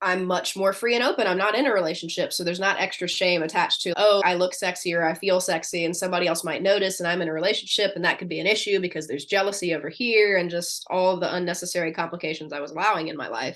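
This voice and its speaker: A woman talks at a very fast pace in a medium-pitched voice. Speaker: neurodivergent life coach. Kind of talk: casual chat. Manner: loud; animated.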